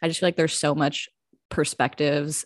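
A woman speaks with a very deep, low pitch, in a dry, close sound with no echo on a very clean recording with a silent background. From South Jersey. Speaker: podcast co-host. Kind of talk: casual chat.

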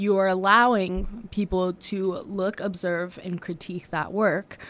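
A woman with an American accent, medium pitch, monotone, flat intonation and a fairly slow pace, in a very clean recording with a silent background. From US, Washington DC. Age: 20s. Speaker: art history student. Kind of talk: casual interview chat. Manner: hesitant, many fillers.

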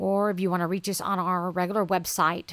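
A woman at a medium pitch and moderate pace, with fairly even intonation, in a very clean recording with a silent background. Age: 40s. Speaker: podcast host and ministry shop owner. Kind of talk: solo podcast monologue. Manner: hesitant, many fillers.

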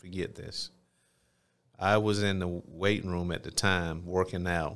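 With an Alabama accent, a man speaks at a very deep, low pitch in a flat monotone, leaving long, frequent pauses. The recording is very clean and the background silent. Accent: Southern US (Alabama). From US South, Phenix City, Alabama. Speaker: mayor and former football player. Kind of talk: interview testimony. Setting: studio.

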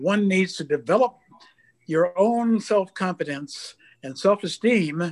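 A high-pitched man with an American accent speaks fairly slowly with ordinary pitch variation, the sound dry and close with no echo. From California. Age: 80s+. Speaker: retired aerospace engineer. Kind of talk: panel discussion. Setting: video call.

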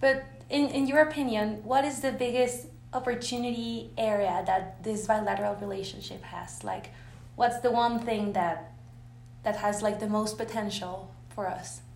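A woman talks at a moderate pace, and room echo is audible around her. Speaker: youth delegate interviewer. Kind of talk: interview. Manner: hesitant, filler-heavy.

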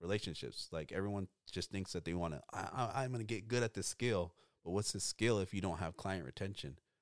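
In a very clean recording with a silent background, a man with an ordinary speaking voice talks at a fairly quick pace, his fairly low pitch showing ordinary pitch variation. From Oxnard, California. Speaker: barbershop owner. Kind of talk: casual chat.

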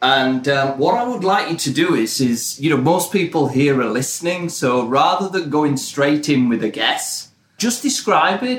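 Speaking fairly slowly with a British accent, a man uses a fairly high pitch and very wide pitch swings. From Britain. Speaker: marketing professional and podcast host. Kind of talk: casual chat.

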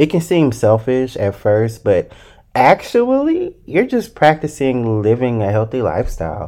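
A man talks at a fairly slow pace and medium pitch in a dark, mellow tone, in a very clean recording with a silent background. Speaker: solo podcast host. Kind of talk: casual solo monologue. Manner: not loud, gentle tone.

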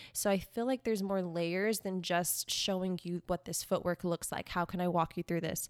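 A woman talks in a plain, everyday voice at fairly low pitch, moderate pace and fairly even intonation, with hardly any pauses. The sound is dry and close with no echo, a very clean recording with a silent background. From South Texas, Corpus Christi. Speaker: dancer and social media influencer. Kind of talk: casual interview. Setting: living room.

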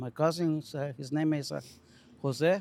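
A man with a Mexican accent, fairly high pitch, and a dark, mellow tone, at a fairly slow pace. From Mexico. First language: Spanish. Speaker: auto body technician. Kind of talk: casual chat. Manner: halting.

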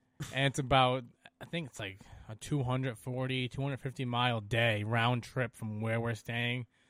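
At a moderate pace, a man talks at medium pitch with monotone, flat intonation. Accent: Rhode Island. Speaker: snowmobile rider. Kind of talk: casual chat.

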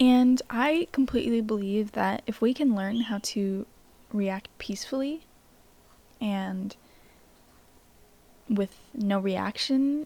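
The voice is dark and mellow, somewhat breathy, with ordinary pitch variation, moving at a very slow pace with long, frequent pauses. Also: woman, fairly high pitch for a woman. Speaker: self-help podcast host. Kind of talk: reflective monologue.

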